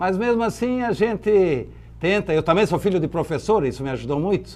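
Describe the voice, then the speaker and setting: Moderately paced, a man talks with lively intonation in a normal speaking voice. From southern Brazil, Santa Catarina (Blumenau valley). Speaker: businessman. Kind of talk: interview.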